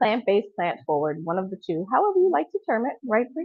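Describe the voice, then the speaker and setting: A woman speaks loudly at a fairly quick pace. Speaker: chef teaching a cooking class. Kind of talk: live cooking demonstration.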